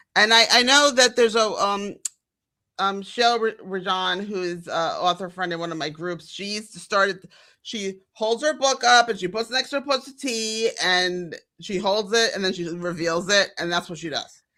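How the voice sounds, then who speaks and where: A woman talks at a moderate pace with a medium pitch, ordinary pitch variation, big swings in loudness, and a bright, sharp, animated tone. The recording is very clean with a silent background. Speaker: podcast co-host. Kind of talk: casual chat.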